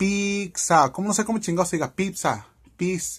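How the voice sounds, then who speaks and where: At a moderate pace, a man talks in an animated tone against a quiet background. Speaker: cooking vlogger. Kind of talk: casual vlog to camera. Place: home room. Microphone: webcam.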